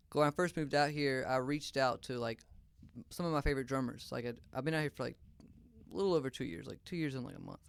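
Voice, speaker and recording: A man with a Louisiana accent talks at a very fast pace. His pitch is fairly high, with ordinary variation. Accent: Southern US (Louisiana). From US South, northern Louisiana (Shreveport). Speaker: drummer. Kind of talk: casual interview chat. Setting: studio.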